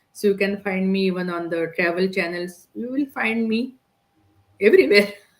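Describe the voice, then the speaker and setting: The speaker has a non-native accent. Pitch variation is ordinary. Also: woman. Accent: foreign. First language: Indian language (English is third). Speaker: digital business entrepreneur. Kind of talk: podcast interview.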